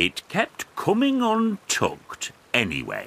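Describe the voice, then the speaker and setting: At a fairly slow pace, the speaker performs in a put-on character voice. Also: man. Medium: read story. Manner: warm, cheerful.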